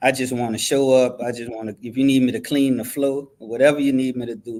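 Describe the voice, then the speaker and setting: A man with a strong New Orleans accent talks at a fairly quick pace in a medium pitch. His intonation is monotone and flat, with big swings in loudness. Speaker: university athletic director. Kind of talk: interview.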